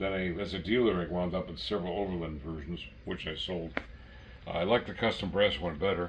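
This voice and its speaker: Very deep and low, a man's voice moves at a fairly quick pace. The room echo is audible. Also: ordinary pitch variation. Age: 80s+. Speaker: model train collector and former brass dealer. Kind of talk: casual chat. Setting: at home train layout.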